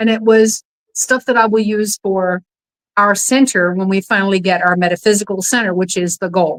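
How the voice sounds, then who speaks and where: A woman with an unremarkable speaking voice talks at a moderate pace, with a medium pitch and fairly even intonation, in a dry, close sound with no echo. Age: 60s. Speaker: podcast host. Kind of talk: casual chat.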